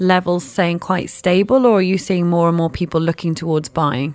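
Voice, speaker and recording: A woman speaks at a moderate pace with a British accent. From UK. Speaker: radio host. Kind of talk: radio interview. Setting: radio studio.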